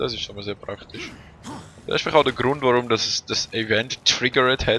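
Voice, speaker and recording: With noticeable background noise behind him, a man of medium pitch talks at a fairly quick pace. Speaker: let's play gamer. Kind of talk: casual gameplay commentary. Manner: casual, relaxed.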